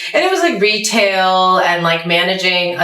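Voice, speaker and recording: There is noticeable background noise and audible room echo. Through it, a woman speaks with an American accent. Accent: American, often thought fake in Pakistan. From US, Potomac, Maryland. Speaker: journalist and comedian. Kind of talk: interview conversation. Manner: loud; animated.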